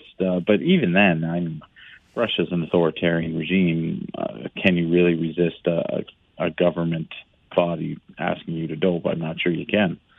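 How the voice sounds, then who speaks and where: A man talks with fairly even intonation at a moderate pace, his pitch very deep and low. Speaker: kinesiology professor. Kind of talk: interview.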